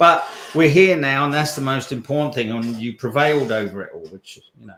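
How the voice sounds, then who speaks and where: This man has a plain, everyday voice. He talks at a middling rate, and his pitch varies in an ordinary way. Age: 60s. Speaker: personal development coach. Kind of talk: podcast interview.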